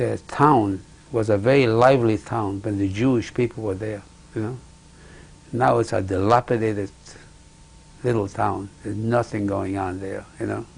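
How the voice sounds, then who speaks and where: Speaking with long, frequent pauses, a man has a somewhat breathy voice, fairly low pitch and fairly even intonation. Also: moderate pace. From Poland. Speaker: Holocaust survivor. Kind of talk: oral history interview. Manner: halting.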